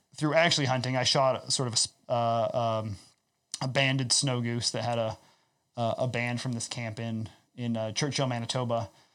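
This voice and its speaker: On a very clean recording with a silent background, a man with a Midwestern US accent talks at a moderate pace, using a medium pitch and fairly even intonation. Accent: US Midwest. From Iowa, US Midwest. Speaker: ecological farmer. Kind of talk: casual chat.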